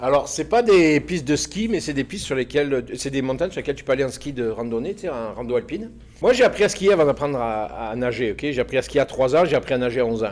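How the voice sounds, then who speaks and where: A man talks very fast, with hardly any pauses. His pitch is medium and his intonation lively. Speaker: former mountain lodge owner, storyteller guest. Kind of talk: casual storytelling. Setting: recording with small live audience.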